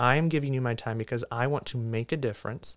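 A man's medium-pitched, an ordinary speaking voice with ordinary pitch variation, on a very clean recording with a silent background. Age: 20s. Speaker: marketing and professional development director. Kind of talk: podcast discussion. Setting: studio.

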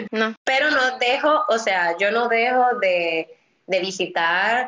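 A woman with a Dominican accent talks with ordinary pitch variation. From Dominican Republic, Santo Domingo. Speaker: immigration lawyer. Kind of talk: interview. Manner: halting, many repeated words.

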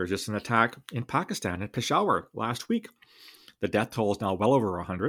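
A man with a Canadian accent and an unremarkable speaking voice, fairly quick pace, ordinary pitch variation, very clean recording with a silent background. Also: medium pitch for a man. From Canada. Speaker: national security consultant and podcast host. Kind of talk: solo commentary podcast.

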